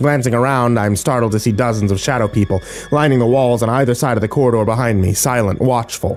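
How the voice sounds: The recording features a natural reading voice.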